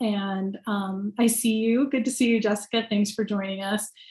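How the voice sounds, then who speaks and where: In a very clean recording with a silent background, a woman speaks at a moderate pace. Her voice is somewhat breathy and fairly high in pitch, with fairly even intonation. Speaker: city staff member. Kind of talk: public meeting briefing.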